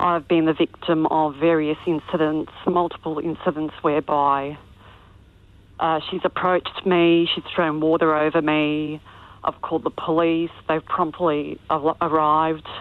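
A woman talks with a very deep, low pitch. Her pace is fairly slow and her intonation monotone and flat. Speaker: caller. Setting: phone call.

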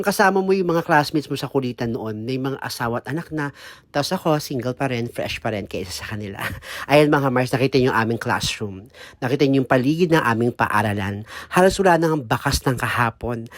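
Fairly quick and lively in intonation, a man talks at a medium pitch. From Philippines, Muntinlupa. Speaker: vlogger. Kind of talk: casual vlog monologue. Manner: animated.

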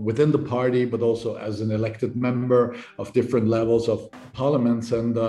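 The pace stays moderate. It's a man talking. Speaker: invited guest politician. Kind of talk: interview answer. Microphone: video call.

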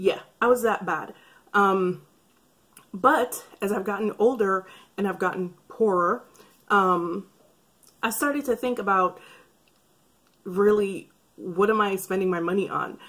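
A woman at medium pitch, with a fairly bright tone, a slightly husky edge, ordinary pitch variation, a fairly slow pace and long, frequent pauses

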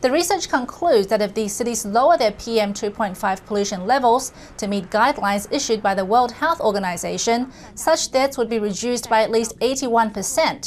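A woman at a fairly high pitch speaks at a moderate pace with ordinary pitch variation over light background noise. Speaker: news anchor. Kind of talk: formal newsreading, measured anchor sign-off reading out website and next-program promo. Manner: crisp, polished and steady, even broadcast cadence. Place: studio. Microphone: lapel.

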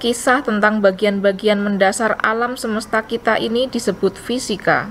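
Amid light background noise, a woman talks at a fairly slow pace with a fairly high pitch and fairly even intonation. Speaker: audiobook narrator. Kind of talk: audiobook narration. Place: home room.

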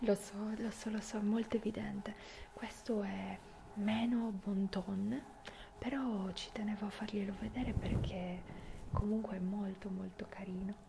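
A woman's fairly slow speech, broken by long, frequent pauses, over noticeable background noise. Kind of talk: ASMR role-play chat to the viewer.

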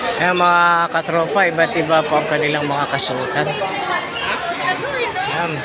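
A woman at a very slow pace with hardly any pauses and very even loudness, audible room echo, and crowd noise in the background. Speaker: vlogger. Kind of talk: casual vlog narration. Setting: shopping mall. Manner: halting, many fillers.

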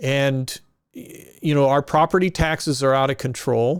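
The speaker is a man with a fairly high pitch. He keeps a moderate pace and fairly even intonation. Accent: Midwestern US. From Kansas. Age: 60s. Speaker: political candidate. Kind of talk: campaign interview. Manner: casual, halting with self-corrections.

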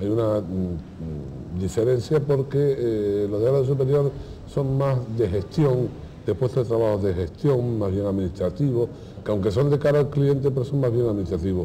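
With a Canarian accent, a man speaks at a moderate pace with ordinary pitch variation over light background noise. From Canary Islands. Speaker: hospitality teacher. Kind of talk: interview. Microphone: lapel.

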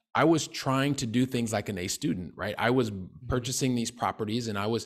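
With an American accent, a man talks at a very fast pace. His intonation stays fairly even against a quiet background. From US Midwest (Ohio, Colorado, Texas). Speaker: real estate investor; podcast guest. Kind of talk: interview. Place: home room. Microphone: studio mic.

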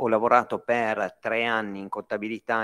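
Fairly quick speech plays out against a quiet background. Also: man. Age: 40s. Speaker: business owner; speaker. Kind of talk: lecture. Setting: stage with audience. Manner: animated. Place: hall.

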